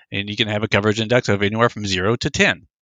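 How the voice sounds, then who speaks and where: In an American accent, a man with a fairly low pitch talks in an unremarkable speaking voice with fairly even intonation. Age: 50s. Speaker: circumcision opponent, activist. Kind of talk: interview.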